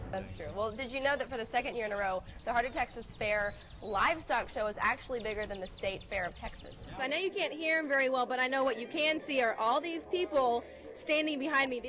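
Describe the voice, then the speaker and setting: Over noticeable background noise, a woman talks at a very fast pace in a high pitch with lively intonation. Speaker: news anchor and reporter. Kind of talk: TV news read.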